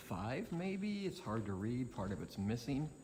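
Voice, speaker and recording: A soft-spoken man talks at a moderate pace in a dark, mellow tone. His somewhat breathy voice swings very widely in pitch. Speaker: motorcycle travel vlogger. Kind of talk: casual vlog narration. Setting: outdoors at a tunnel.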